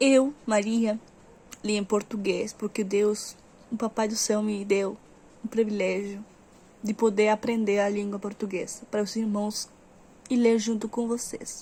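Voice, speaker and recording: A woman with a Spanish accent, fairly high in pitch, with a dark, mellow tone, a flat, monotone delivery and long, frequent pauses. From Uruguay. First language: Spanish (speaking Portuguese). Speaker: Bible reader. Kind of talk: reading aloud; casual chat. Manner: halting.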